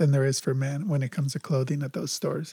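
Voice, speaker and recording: A man's dark, mellow, somewhat breathy voice in a General American accent, dry and close with no echo. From Los Angeles. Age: 50s. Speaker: podcast co-host. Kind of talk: casual chat.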